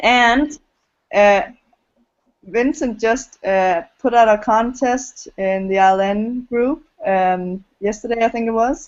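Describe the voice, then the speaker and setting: At a very slow pace, a woman with a Danish accent talks at a fairly high pitch with ordinary pitch variation. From Denmark. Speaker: network marketer and video blogger. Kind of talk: group video call discussion. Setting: online video hangout. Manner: halting.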